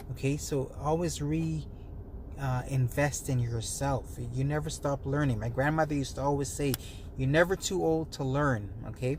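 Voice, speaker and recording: A man speaks at a moderate pace. His fairly high pitch moves with lively intonation. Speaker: wellness and money-tips vlogger. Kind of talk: casual to-camera talk. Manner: soft-spoken; hesitant, many fillers.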